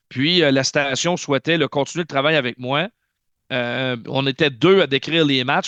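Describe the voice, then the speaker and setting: A man speaks in a fairly high pitch. His intonation stays fairly even, and the background is quiet. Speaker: hockey play-by-play announcer. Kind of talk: interview, casual chat. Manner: fast; loud.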